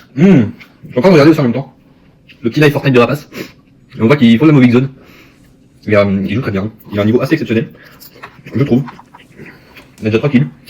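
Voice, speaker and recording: Delivery is very fast but broken by long, frequent pauses, with ordinary pitch variation and noticeable background noise. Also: man, medium pitch for a man. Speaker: YouTuber. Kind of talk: food tasting vlog. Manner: fast, sometimes stammering; eating while talking.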